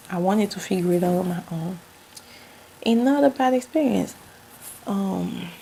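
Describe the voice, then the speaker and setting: A woman's medium-pitched voice in a strong Haitian accent, with lively intonation, a moderate pace, long, frequent pauses and noticeable background noise. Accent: Haitian accent, still thick. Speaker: vlogger. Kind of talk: casual storytelling vlog. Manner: animated.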